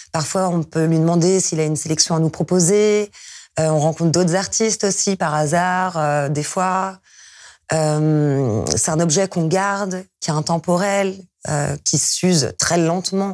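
With a quiet background, a woman speaks at a fairly slow pace in a fairly low pitch, with ordinary pitch variation and very even loudness. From France. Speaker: DJ and music producer; DJ, guest. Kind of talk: interview. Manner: hesitant, many fillers. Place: studio. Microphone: lapel.

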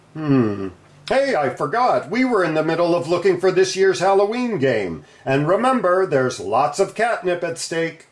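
A man puts on a character voice pitched high. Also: moderate pace, hardly any pauses.

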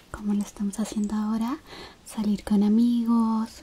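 A woman speaks in a flat, monotone intonation. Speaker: roleplay host. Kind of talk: soft spoken roleplay chat to viewer. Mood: warm, caring, gentle.

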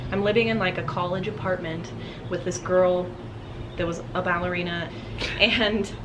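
Amid noticeable background noise, the voice moves at a moderate pace. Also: woman. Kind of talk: casual vlog chat. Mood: cheerful, laughing. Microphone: camera far.

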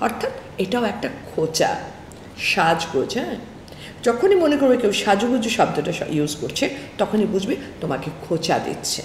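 A woman's voice moves in very wide pitch swings. The room echo is audible, with light background noise. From Bangladesh. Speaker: counselor and motivational speaker; motivational speaker. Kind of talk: motivational talk. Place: office.

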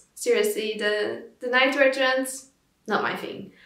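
Against a quiet background with audible room echo, a woman speaks in a high voice at a moderate pace. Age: 20s. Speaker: fashion vlogger. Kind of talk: scripted narration.

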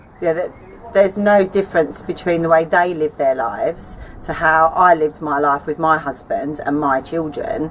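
Light background noise sits behind a woman speaking at a fairly low pitch with ordinary pitch variation. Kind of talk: casual to-camera statement. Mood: earnest, light laughter. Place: garden.

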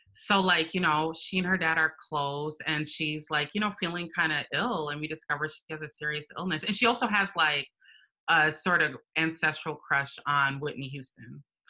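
A woman with an American accent talks at a moderate pace in a very deep, low pitch, her tone bright and sharp. Her pitch varies in an ordinary way against a quiet background. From Minnesota, US. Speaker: writer and performance artist; interview guest. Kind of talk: casual interview chat. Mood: warm, animated. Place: home room. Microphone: video call.

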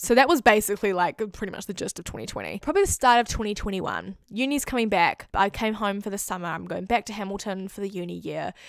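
A woman with a New Zealand accent speaks at a fairly quick pace in an animated tone. The sound is dry with no echo, over a quiet background. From New Zealand, Auckland. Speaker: YouTuber. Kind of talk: testimony. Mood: warm, animated, sincere. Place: home room. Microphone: handheld.

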